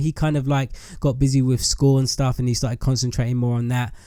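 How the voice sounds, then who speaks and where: Speaking with an English accent, a man with a medium-pitched, dark, mellow tone moves at a fairly quick pace. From England. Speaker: YouTube gamer. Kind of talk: casual chat to viewers.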